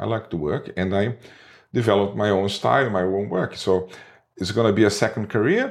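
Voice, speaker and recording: Speaking at a moderate pace with ordinary pitch variation, this voice carries a Portuguese accent. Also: man, very clean recording, silent background. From Brazil, Rio de Janeiro. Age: 50s. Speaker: advertising creative director and artist. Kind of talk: interview. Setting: studio. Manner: halting, self-correcting.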